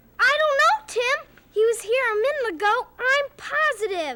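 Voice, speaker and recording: An extremely high-pitched, put-on character voice delivers lines at a moderate pace. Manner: calm, reassuring.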